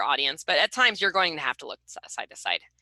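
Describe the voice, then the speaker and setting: A woman's medium-pitched voice has a bright, sharp tone and very wide pitch swings, with a dry, close sound and no echo. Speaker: research mentor for student interns. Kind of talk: webinar presentation. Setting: video call. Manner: fast; many filler words.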